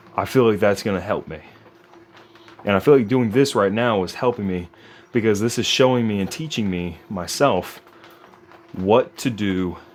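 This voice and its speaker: A man with a fairly low pitch talks at a moderate pace with ordinary pitch variation. Long, frequent pauses break up his speech over noticeable background noise. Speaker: fitness vlogger. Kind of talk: casual vlog monologue. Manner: quiet, not naturally loud; halting with fillers.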